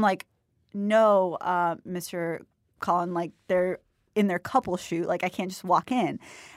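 A woman with an American accent talks at a fairly slow pace in a medium pitch, her intonation fairly even, in an ordinary speaking voice. The recording is very clean with a silent background, and the sound is dry and close with no echo. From Jacksonville, Florida. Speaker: university student. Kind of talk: casual interview chat. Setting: studio. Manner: giggly, frequent laughter.

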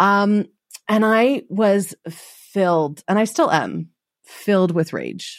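A woman's medium-pitched voice, very slow, with ordinary pitch variation, on a very clean recording over a silent background. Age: 40s. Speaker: body image coach and podcaster. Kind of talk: casual chat.

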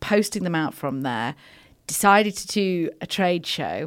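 With an English accent, a woman's fairly low voice moves in lively intonation on a very clean recording with a silent background. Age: 40s. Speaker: wellbeing brand founder. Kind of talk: casual chat.

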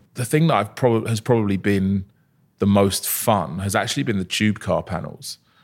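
Very clean recording with a silent background: an ordinary speaking voice, moderate in pace, its pitch varying in an ordinary way. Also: man. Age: 30s. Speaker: company founder and CEO. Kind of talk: interview. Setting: studio.

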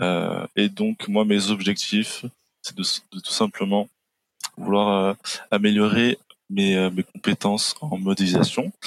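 Each word comes at a very slow pace from a man, with a dry, close sound with no echo. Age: 20s. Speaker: 3D animation artist. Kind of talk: casual chat.

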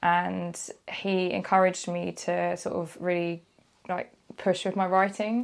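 A woman speaks with a British accent. The recording is very clean, with a silent background. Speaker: freelance journalist. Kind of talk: casual chat.

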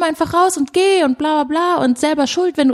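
In a dry, close recording with no echo, a woman with a high pitch speaks at a moderate pace. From Düsseldorf, Germany (born in Brazil). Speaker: filmmaker and video journalist. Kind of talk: casual interview. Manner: halting, many fillers.

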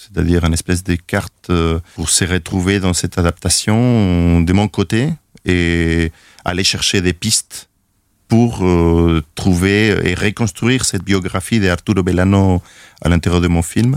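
A man's very deep, low voice in a Spanish accent, fairly slow and fairly even in intonation, with very even loudness on a very clean recording with a silent background. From Chile, Valparaíso. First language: Spanish (speaking French). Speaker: film director. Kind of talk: interview. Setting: studio. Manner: halting, many repetitions.

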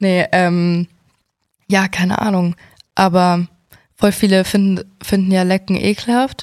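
A woman's medium-pitched voice, monotone and flat, at very even loudness and a very slow pace with long, frequent pauses, dry and close with no echo. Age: 20s. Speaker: podcast co-host. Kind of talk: casual chat.

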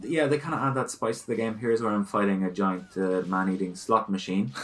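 A man with a plain, everyday voice, fairly low in pitch, with ordinary pitch variation, very even loudness and hardly any pauses. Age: 30s. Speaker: video game podcast co-host. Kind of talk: casual chat.

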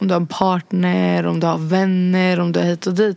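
A woman's normal speaking voice at medium pitch and a moderate pace. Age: 20s. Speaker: podcast host. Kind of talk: casual chat.

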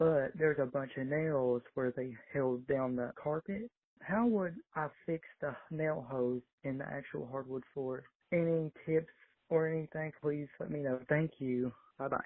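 Someone with a Southern US accent speaks at a fairly slow pace. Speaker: caller. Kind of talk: voicemail question.

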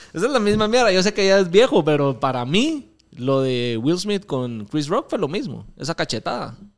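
A man with a high voice speaks at a moderate pace with hardly any pauses, his pitch swinging very widely. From Guatemala. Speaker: podcast host. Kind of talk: casual chat.

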